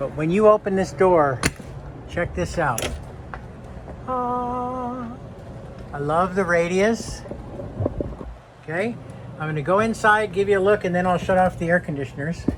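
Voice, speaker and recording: A man with a high voice and lively intonation talks with long, frequent pauses over noticeable background noise. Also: fairly slow pace. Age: 60s. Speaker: RV reviewer. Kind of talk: product walkthrough. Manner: animated.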